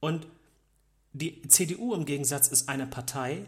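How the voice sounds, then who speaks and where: At a fairly slow pace, a man with a fairly high pitch speaks somewhat breathily, his pitch varying in an ordinary way. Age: young. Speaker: podcast co-host, technician. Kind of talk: casual political discussion. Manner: halting, repeats words.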